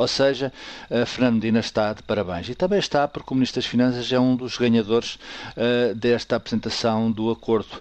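A plain, everyday voice from a man, medium-pitched, fairly quick, with fairly even intonation. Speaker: political commentator. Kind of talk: radio commentary.

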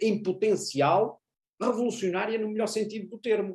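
A high-pitched man at a moderate pace. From Portugal. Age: 40s. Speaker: university professor and international affairs commentator. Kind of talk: interview.

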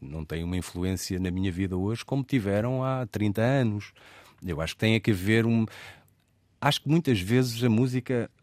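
A man talks at a fairly slow pace with lively intonation, the sound dry and close with no echo on a very clean recording with a silent background. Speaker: radio host. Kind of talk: interview. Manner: calm.

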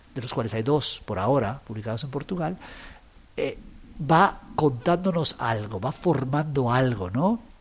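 A man speaks with very wide swings in pitch. His voice is somewhat breathy. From Guatemala. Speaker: writer. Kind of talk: interview. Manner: halting, repeats words.

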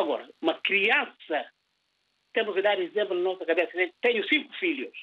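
A man is speaking. His intonation is lively. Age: 60s. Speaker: radio caller, father of five. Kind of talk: phone-in opinion.

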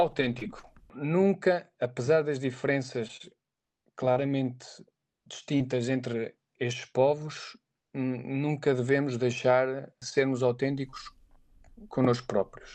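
A man speaks at a very slow pace with long, frequent pauses and fairly even intonation. His pitch is medium, and the background is quiet. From Portugal, Aveiro. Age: 30s. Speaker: sports physiotherapist. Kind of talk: interview. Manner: halting, many fillers.

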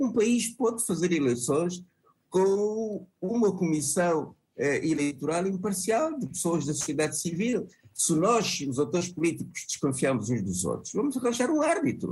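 A man speaks at a high pitch, his voice swinging very widely up and down. His pace is fairly slow. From Angola. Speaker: opposition party leader. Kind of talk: televised panel debate.

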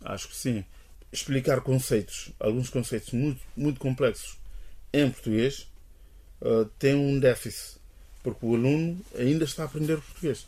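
On a very clean recording with a silent background, a man of medium pitch speaks at a moderate pace, with long, frequent pauses. His tone is dark and mellow, somewhat breathy, with ordinary pitch variation. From Guinea-Bissau. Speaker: linguist. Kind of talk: interview. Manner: hesitant.

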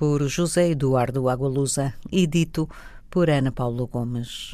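On a very clean recording against a silent background, the words come at a very slow pace. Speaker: radio host reading poetry. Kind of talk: poetry reading. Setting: studio. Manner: slow, measured, lyrical, reflective.

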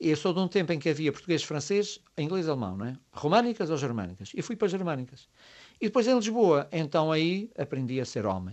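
At a fairly quick pace, a man speaks with a fairly high pitch and very wide pitch swings. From Azores, Graciosa and Terceira. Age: 50s. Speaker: writer and high school teacher. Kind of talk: radio interview.

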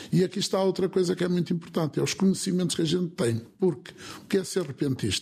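A man speaks at a very fast pace with a high pitch. His pitch variation is ordinary. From northern Portugal, Alto Minho. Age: 60s. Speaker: folk improvisational singer and concertina player. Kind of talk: interview. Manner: halting, with repetitions.

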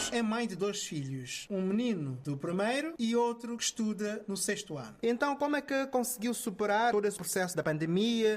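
A man speaks with a high pitch and lively intonation. The pace is moderate. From São Tomé and Príncipe. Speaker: community radio host. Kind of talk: interview.

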